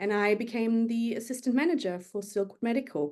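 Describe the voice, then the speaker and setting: Speaking in a German accent, a woman with a fairly high pitch and a dark, mellow tone keeps a moderate pace. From Germany, Berlin. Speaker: magazine editor. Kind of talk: interview.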